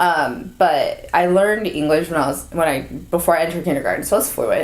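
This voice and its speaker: Speaking at a fairly quick pace, a woman uses an American accent. Noticeable background noise is present. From US West Coast, Orange County, California. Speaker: content and marketing staff. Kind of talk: casual interview. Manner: casual, filler-heavy speech.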